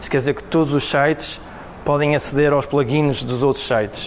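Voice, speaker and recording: There is noticeable background noise behind a man's voice. His pitch is fairly high and his intonation monotone and flat. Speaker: web developer, meetup speaker. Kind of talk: tech talk presentation. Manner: halting, many fillers.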